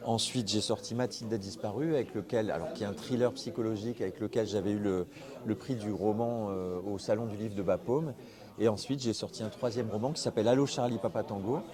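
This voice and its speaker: An ordinary speaking voice from a man, fairly low in pitch, with ordinary pitch variation and a fairly quick pace. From Nord-Pas-de-Calais, northern France. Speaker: novelist. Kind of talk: interview.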